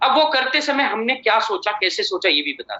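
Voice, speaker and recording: A man speaks with ordinary pitch variation. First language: Marathi (speaking Hindi). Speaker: company chairman and MD. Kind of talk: motivational business presentation.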